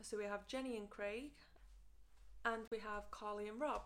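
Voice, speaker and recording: Speaking at a fairly slow pace, a woman with a British accent has a fairly high pitch. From United Kingdom. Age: 20s. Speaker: book vlogger. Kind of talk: casual book review to camera.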